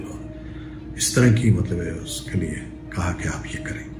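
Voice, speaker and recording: With music playing behind him, a man speaks in a very deep, low voice that makes very wide pitch swings. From Pakistan. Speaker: newscaster; radio announcer. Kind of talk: interview answer.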